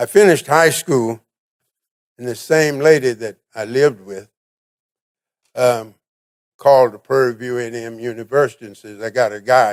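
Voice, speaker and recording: Big swings in loudness and long, frequent pauses mark this man's speech at a medium pitch. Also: ordinary pitch variation, moderate pace. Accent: Texan. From Texas, Navarro County. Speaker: military veteran, award recipient. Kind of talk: award acceptance speech. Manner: hesitant with fillers.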